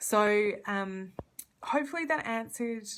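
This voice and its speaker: With an Australian accent, a woman speaks using lively intonation. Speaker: community legal worker. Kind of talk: live Q&A. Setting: Facebook live stream. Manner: fast.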